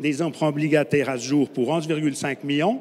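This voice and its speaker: A man with a Swiss French accent and a fairly high pitch. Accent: Swiss French (Romand). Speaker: conference speaker, energy infrastructure company representative. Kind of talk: conference talk.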